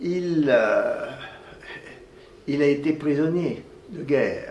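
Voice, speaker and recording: There is audible room echo and noticeable background noise as a man speaks at a very slow pace. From France, Clermont-Ferrand (Auvergne). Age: 80s+. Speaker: retired orthopedic surgeon, professor. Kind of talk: interview, life story. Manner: halting, many repetitions and hesitations.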